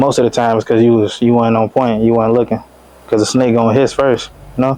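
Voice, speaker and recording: A very fast, medium-pitched male voice, monotone and flat, with very even loudness over noticeable background noise. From Chicago West Side. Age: 20s. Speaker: rapper. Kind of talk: casual interview.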